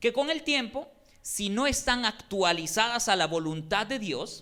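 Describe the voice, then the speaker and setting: A very clean recording with a silent background carries speech delivered at a fairly slow pace. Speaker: preacher. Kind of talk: sermon. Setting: church.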